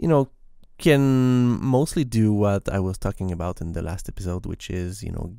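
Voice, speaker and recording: A man with a Quebec accent, fairly low in pitch, with lively intonation at a moderate pace, on a very clean recording with a silent background. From Quebec, Canada. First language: French. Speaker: software developer podcaster. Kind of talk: casual tech podcast monologue. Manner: hesitant with fillers and repetitions.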